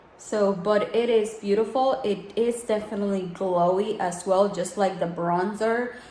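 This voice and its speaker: A woman's medium-pitched voice with fairly even intonation, noticeable background noise and audible room echo. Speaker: beauty vlogger. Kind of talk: tutorial. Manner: soft-spoken; casual.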